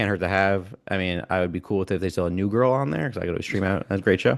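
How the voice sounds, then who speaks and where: With an American accent, a man with a fairly low pitch speaks at a very fast pace with ordinary pitch variation against a quiet background. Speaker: baseball podcast host. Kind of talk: casual chat.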